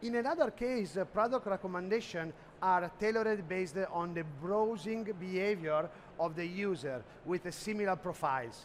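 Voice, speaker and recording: A man with an Italian accent speaks at a moderate pace. His high pitch shows ordinary variation. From Italy. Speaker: sales executive presenting at a trade expo. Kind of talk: conference presentation. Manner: halting, many fillers.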